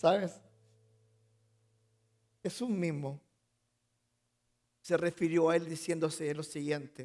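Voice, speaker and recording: With long, frequent pauses, a man talks at a very slow pace in a high pitch with fairly even intonation. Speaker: pastor. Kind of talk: sermon monologue.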